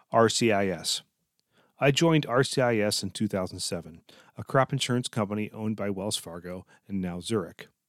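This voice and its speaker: A man with an unremarkable speaking voice and a fairly low pitch talks at a fairly quick pace with ordinary pitch variation. The recording is very clean with a silent background and a dry, close sound with no echo. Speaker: leadership podcast host, tech executive. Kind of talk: scripted monologue.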